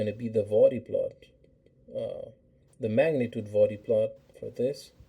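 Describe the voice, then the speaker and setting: A man speaks at a fairly slow pace. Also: long, frequent pauses, big swings in loudness. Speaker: engineering teaching assistant. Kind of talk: instructional lab tutorial. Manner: hesitant, many fillers.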